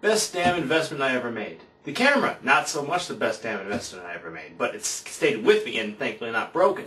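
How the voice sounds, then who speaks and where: A man at a moderate pace with very wide pitch swings, over noticeable background noise. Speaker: vlogger. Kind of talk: casual talk to camera. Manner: speaking with gusto.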